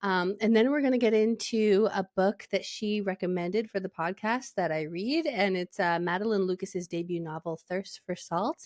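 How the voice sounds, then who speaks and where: This woman has a Canadian accent and a medium pitch, speaking at a moderate pace with ordinary pitch variation. The sound is dry and close, with no echo. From Alberta, Canada. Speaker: podcast host. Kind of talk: casual chat. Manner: animated.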